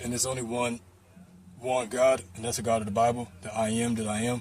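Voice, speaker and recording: Somewhat breathy, a man talks at a fairly quick pace in a monotone, flat intonation. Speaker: religious vlogger. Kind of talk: casual religious monologue. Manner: casual, halting with fillers.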